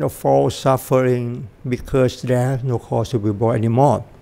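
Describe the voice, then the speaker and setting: At a moderate pace, a man speaks with a Thai accent. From Thailand. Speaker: Buddhist dharma teacher. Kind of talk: dharma talk. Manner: halting.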